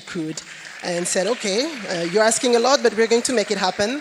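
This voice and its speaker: There is noticeable background noise. Over it, a woman speaks at a fairly quick pace. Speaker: company executive, panelist. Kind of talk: conference panel talk. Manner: hesitant, many fillers.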